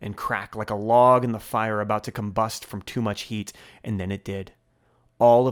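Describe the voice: Plain reading aloud unfolds here, its intonation fairly even.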